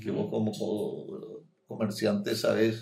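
Lively intonation and vocal fry mark this man's speech. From Paraguay. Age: 70s. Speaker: doctor and mayoral candidate. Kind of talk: interview.

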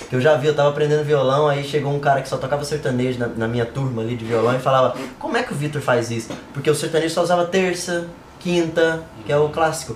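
Amid noticeable background noise, a man with a fairly high pitch talks at a very fast pace with ordinary pitch variation. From inland Brazil. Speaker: music podcast co-host. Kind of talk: casual chat. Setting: live stream.

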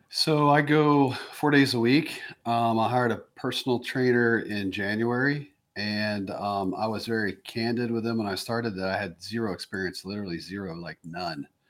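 A man with a medium pitch talks at a moderate pace in an ordinary speaking voice, with ordinary pitch variation. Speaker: business owner. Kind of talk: casual interview conversation.

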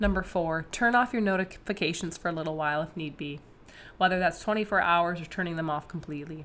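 A woman's fairly low voice at a very fast pace, ordinary pitch variation, on a very clean recording with a silent background. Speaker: dating coach and podcast host. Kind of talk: solo podcast advice talk. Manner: casual, conversational with laughs.

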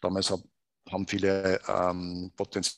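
A man speaks with a very deep, low pitch. The sound is dry and close, with no echo. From Upper Austria, Salzkammergut. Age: 50s. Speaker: proptech company co-founder. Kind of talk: interview.

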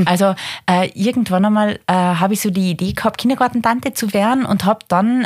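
Somewhat breathy woman's voice at medium pitch and a moderate pace. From East Tyrol, Austria (Dölsach). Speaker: head of adult education in a diocese. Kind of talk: casual interview.

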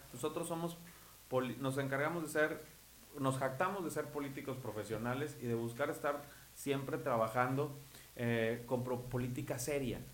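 A man speaks with fairly even intonation, and audible room echo can be heard. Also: medium pitch for a man, moderate pace. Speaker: local politician. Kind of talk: political interview.

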